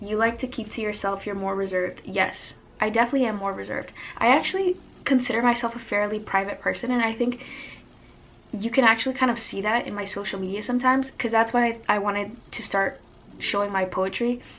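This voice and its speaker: Amid noticeable background noise, a woman talks at a very fast pace in a fairly high pitch. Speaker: lifestyle youtuber and poet. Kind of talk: casual chat. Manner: animated.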